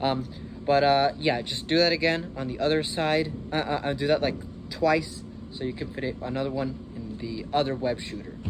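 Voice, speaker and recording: Noticeable background noise and audible room echo surround speech with fairly even intonation at a moderate pace. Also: man, fairly high pitch for a man. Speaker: DIY maker youtuber. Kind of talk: tutorial. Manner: hesitant, many fillers.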